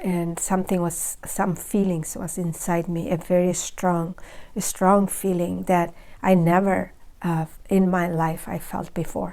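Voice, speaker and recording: In a Bengali accent, a woman speaks fairly slowly in a fairly low voice with a dark, mellow tone. Her intonation is monotone and flat. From Bangladesh. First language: Bangla. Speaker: spiritual video creator. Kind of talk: personal testimony. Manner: halting, many fillers.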